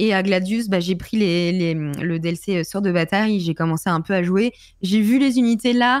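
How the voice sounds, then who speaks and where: A woman speaks at a fairly slow pace and medium pitch with ordinary pitch variation. The sound is dry with no echo, over a quiet background. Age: 20s. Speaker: Twitch streamer. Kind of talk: casual chat. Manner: hesitant, many fillers. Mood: relaxed, friendly. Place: home room. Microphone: studio mic.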